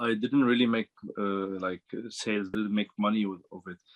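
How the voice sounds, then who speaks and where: The speaker is a man. He talks with an Arabic accent. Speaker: dropshipping student. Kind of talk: interview. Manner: halting, many fillers and repeats.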